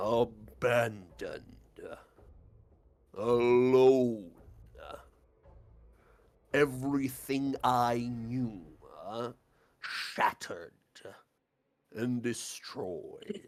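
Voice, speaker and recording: A booming put-on character voice from a man, medium in pitch, very slow, with ordinary pitch variation and long, frequent pauses. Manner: despairing, mournful.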